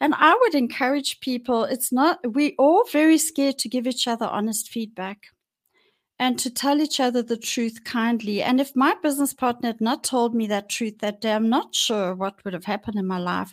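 In a very clean recording with a silent background, a woman speaks at a moderate pace in a high pitch with lively intonation. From South Africa, Johannesburg. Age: 60s. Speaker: mental health podcaster sharing personal story. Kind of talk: personal testimony interview.

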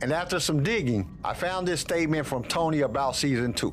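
Over music in the background, a man talks at a fairly quick pace, his fairly high pitch showing ordinary variation. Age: 40s. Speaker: podcast host. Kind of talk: casual chat.

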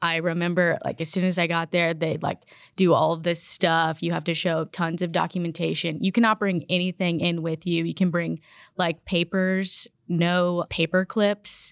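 The recording is very clean, with a silent background. A woman with a fairly low pitch speaks at a moderate pace in a normal speaking voice. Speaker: trial attorney. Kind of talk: casual roundtable discussion.

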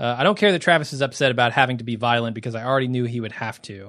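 The man speaks with fairly even intonation. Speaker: podcast host. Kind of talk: casual banter, co-hosted podcast.

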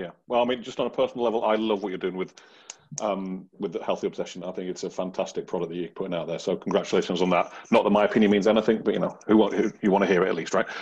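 Speaking very fast, a man talks in a British accent. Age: 40s. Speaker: podcast host. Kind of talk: casual chat.

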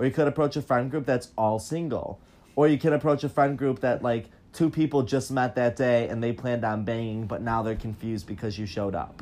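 A man's ordinary speaking voice, medium in pitch, with ordinary pitch variation and a fairly quick pace. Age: 20s. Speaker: podcast host. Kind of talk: casual chat. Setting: at home on a bed.

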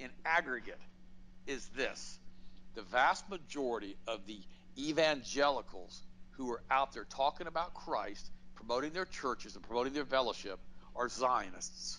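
Bright and sharp in tone, a man with an American accent speaks at a medium pitch and a moderate pace with lively intonation. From US South. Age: 60s. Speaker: health products entrepreneur. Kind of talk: political interview. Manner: animated.

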